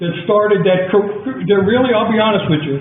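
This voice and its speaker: A man speaks at a high pitch with ordinary pitch variation, with audible room echo and noticeable background noise around him. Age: 80s+. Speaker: town commissioner. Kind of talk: public meeting debate. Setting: council chamber meeting. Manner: animated.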